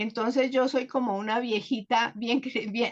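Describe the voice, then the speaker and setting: This is a woman's voice, fairly high in pitch. Its pitch variation is ordinary. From Colombia, Bogotá. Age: 70s. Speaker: guest speaker sharing life story. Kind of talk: personal testimony.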